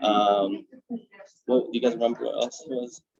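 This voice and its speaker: A man at a moderate pace. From Iraq (Baghdad), raised in US East Coast. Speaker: guest speaker. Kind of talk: Q&A answers.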